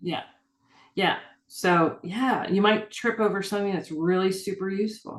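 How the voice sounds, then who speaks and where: At a moderate pace, a woman with a medium pitch and fairly even intonation speaks in an unremarkable speaking voice. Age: 60s. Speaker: urban fantasy author. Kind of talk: casual interview chat. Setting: video call.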